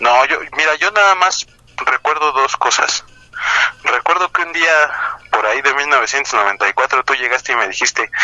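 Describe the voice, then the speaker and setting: Behind noticeable background noise, a man with a fairly high pitch speaks at a moderate pace with lively intonation. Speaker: podcast co-host, comedian. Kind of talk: casual comedic chat.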